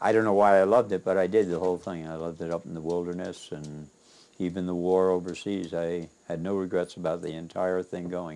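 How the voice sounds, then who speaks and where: A man with a very deep, low pitch and a dark, mellow tone speaks at a fairly quick pace in a monotone, flat intonation. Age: 80s+. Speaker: painter and war veteran. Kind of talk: interview storytelling.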